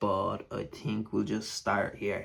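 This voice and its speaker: A man with an Irish accent, fairly low-pitched, flat and monotone, at a fairly slow pace. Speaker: wrestling DVD collector vlogger. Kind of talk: casual unboxing monologue. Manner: rambling, with many fillers.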